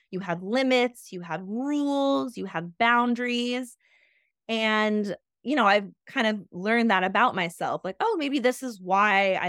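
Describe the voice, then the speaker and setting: At a fairly slow pace, a woman speaks with a fairly high pitch, ordinary pitch variation and big swings in loudness. It is a plain, everyday voice. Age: 30s. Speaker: illustrator. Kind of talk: interview. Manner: casual, frequent fillers.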